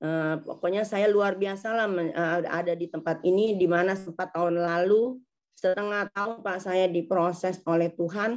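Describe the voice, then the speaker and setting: The speech moves at a moderate pace with hardly any pauses and fairly even intonation. The background is quiet. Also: woman, medium pitch for a woman. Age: 60s. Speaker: congregation member giving testimony. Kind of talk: testimony. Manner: halting.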